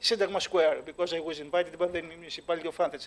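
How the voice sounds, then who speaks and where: A man speaks with a Greek accent. His intonation stays fairly even. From Greece. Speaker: dance creator and judge. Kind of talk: panel discussion. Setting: stage with live audience. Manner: halting, many fillers.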